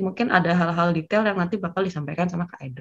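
The background is quiet. A woman speaks in a somewhat breathy voice. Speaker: job-interview practice participant. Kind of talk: group discussion feedback. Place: home room. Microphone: video call.

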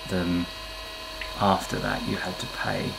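Speech at a fairly slow pace comes through noticeable background noise. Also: man. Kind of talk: casual vlog chat. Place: workshop.

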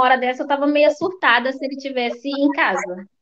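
A woman's high voice at a moderate pace over light background noise. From Belo Horizonte, Minas Gerais, Brazil. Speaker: restaurant owner, immigrant entrepreneur. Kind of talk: interview. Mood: animated, expressive storytelling. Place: home room. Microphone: video call.

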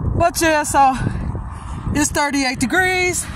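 The recording has a dry sound with no echo, with noticeable background noise. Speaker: vlogger. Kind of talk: casual vlog chat. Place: street.

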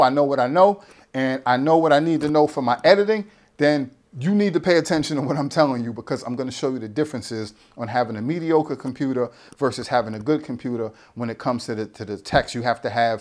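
Over a quiet background, a man talks very fast in an animated tone, his fairly high voice showing ordinary pitch variation. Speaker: YouTuber, tech and fitness channel host; tech unboxing host. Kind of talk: casual unboxing vlog. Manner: rambling, halting with repetitions.

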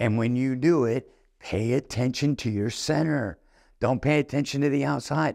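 The recording is very clean, with a silent background and a dry, close sound with no echo. A man speaks fairly slowly with lively intonation. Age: 50s. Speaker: golf instructor. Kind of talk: tutorial. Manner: animated.

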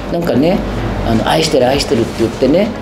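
Noticeable background noise behind a woman talking. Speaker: bar owner. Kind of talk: documentary interview answer. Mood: candid, wry storytelling. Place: bar.

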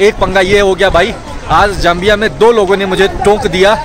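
Over crowd noise in the background, a man with a high pitch speaks at a moderate pace in a dry sound with no echo. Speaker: travel vlogger. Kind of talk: casual vlog chat. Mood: chatty, slightly frustrated. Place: station. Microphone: phone near.

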